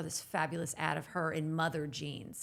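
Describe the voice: A woman speaks at a fairly low pitch. Vocal fry comes through in her voice.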